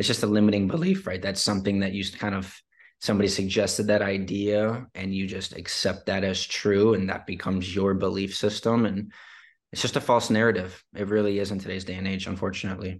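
Against a quiet background, a man with a Midwestern American accent and a fairly low pitch speaks fairly quickly in a flat monotone. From Detroit, Michigan. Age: 20s. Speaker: entrepreneur and author. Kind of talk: podcast interview.

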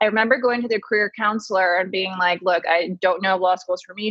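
Using an ordinary speaking voice, a woman with an American accent talks at a fairly quick pace with ordinary pitch variation. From came from Taiwan at 3, grew up in US. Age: 30s. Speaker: beauty columnist and fragrance brand founder. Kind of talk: casual interview.

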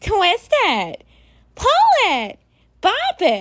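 This put-on character voice is squeaky and nasal, at an extremely high pitch. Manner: obnoxious, bossy.

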